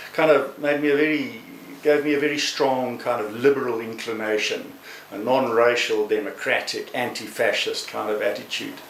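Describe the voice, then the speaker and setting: Audible room echo and noticeable background noise around a man's moderate-paced speech. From South Africa. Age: 60s. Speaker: human rights lawyer. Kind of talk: testimony. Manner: halting.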